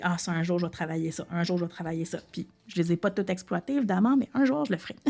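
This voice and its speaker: With music in the background, a woman at medium pitch talks at a very fast pace with ordinary pitch variation. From Quebec, Lanaudière. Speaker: French second-language teacher and podcaster. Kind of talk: educational podcast monologue. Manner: casual, many fillers.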